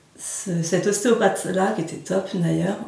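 With noticeable background noise and audible room echo, a woman talks at a fairly slow pace in a fairly low pitch. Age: 30s. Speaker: NLP coach. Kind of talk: interview. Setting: her practice office, filmed.

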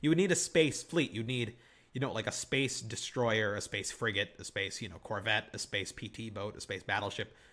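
On a very clean recording with a silent background, a man with a Michigan accent talks at a moderate pace in a medium pitch, his pitch varying in an ordinary way. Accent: general American, Michigan. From Southeast Michigan. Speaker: podcast host. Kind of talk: casual chat.

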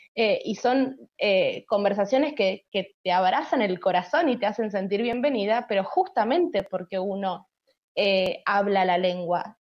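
In a Rioplatense accent, a woman speaks at a medium pitch. Her pace is fairly slow, with ordinary pitch variation. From Argentina. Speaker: podcast co-host. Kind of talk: casual interview chat.

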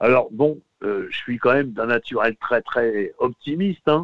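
A man is speaking. His pitch is fairly high. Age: 50s. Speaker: radio presenter. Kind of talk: interview. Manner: hesitant, many fillers.

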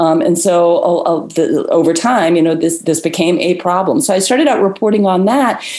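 With an American accent, a woman talks at a fairly quick pace amid noticeable background noise and audible room echo. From Florida. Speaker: environmental journalist. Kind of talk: interview conversation.

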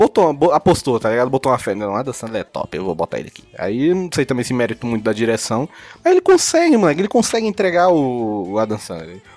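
A man with a Brazilian accent at a very fast pace, very wide pitch swings and big swings in loudness, in a dry, close sound with no echo and music in the background. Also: medium pitch for a man. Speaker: podcast co-host. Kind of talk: casual chat. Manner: animated.

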